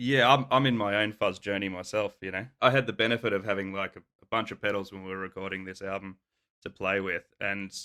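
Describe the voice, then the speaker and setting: A man with an Australian accent speaks very fast in a fairly low pitch, his loudness swinging widely over fairly even intonation, on a very clean recording with a silent background. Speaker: rock band guitarist. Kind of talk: casual interview chat.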